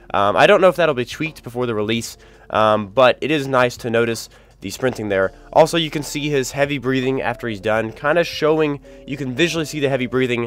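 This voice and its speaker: Music runs in the background as a man speaks at a fairly quick pace. His pitch is medium, with ordinary variation. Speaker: gaming youtuber. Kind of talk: video game commentary. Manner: casual, many fillers.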